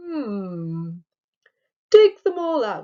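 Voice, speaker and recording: Her pitch is high and swings very widely. A woman is doing a put-on character voice. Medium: read story. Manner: slow, musing.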